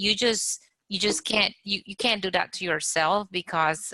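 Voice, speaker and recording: Heard dry and close with no echo, a woman with a non-native accent and a bright, sharp tone speaks at a moderate pace with fairly even intonation. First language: not English. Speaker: architecture exam candidate. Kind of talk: group video meetup discussion. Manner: halting, repeats words.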